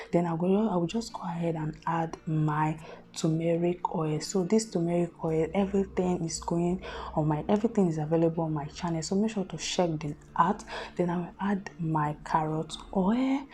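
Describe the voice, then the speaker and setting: Soft-spoken, the woman talks at a moderate pace in a fairly low voice with ordinary pitch variation. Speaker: beauty vlogger. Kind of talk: tutorial.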